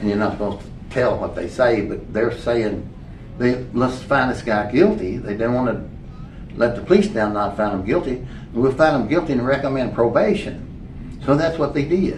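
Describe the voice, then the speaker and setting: Against noticeable background noise, a man at medium pitch speaks at a moderate pace with lively intonation. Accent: American. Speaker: former sheriff and county judge executive, musician. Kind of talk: oral history interview answer. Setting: library interview recording. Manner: casual, storytelling.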